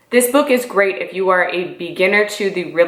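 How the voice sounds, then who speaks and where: Against noticeable background noise, a woman talks at a fairly quick pace in an animated tone with ordinary pitch variation. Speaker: YouTuber, real estate entrepreneur. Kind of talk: casual vlog book review. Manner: fast.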